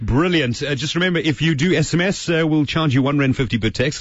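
Lively in intonation, a man speaks at a moderate pace with a fairly high pitch and vocal fry. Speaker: radio presenter and teacher. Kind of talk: radio show.

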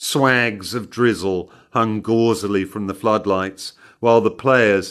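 Plain reading aloud from a page

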